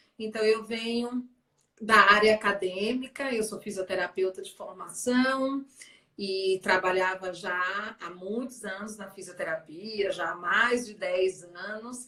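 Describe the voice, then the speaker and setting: In a Bahian accent, a woman speaks at a very slow pace in a medium pitch with fairly even intonation and big swings in loudness. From Bahia, Salvador. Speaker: sales director, former physiotherapist. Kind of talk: live stream interview. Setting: Instagram live.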